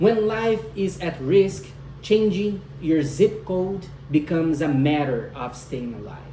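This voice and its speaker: A man with a non-native accent speaks at a fairly slow pace, with a fairly high pitch and lively intonation, amid audible room echo and noticeable background noise. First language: not English. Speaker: student speaker. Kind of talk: speech. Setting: at home with husband and dog listening.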